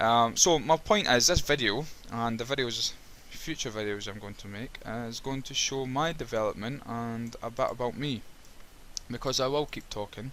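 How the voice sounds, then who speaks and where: A man with a Scottish accent at a moderate pace, his loudness swinging widely. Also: medium pitch for a man, ordinary pitch variation. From Scotland. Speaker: web developer. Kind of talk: screen-recorded coding tutorial with commentary. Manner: halting, frequent repetitions and fillers.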